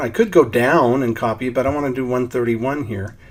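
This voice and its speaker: There is noticeable background noise behind a man with a medium pitch. He talks at a moderate pace with ordinary pitch variation. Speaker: software trainer. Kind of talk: tutorial.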